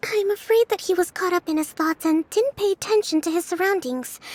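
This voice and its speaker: A squeaky, put-on character voice from a woman, extremely high-pitched, at a fairly quick pace. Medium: video game. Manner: soft-spoken, calm.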